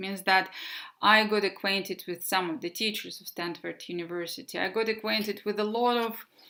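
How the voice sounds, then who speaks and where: In a Russian accent, a woman with a medium pitch and a bright, sharp tone speaks at a moderate pace with ordinary pitch variation, on a very clean recording with a silent background. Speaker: English teacher. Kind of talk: presentation. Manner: halting.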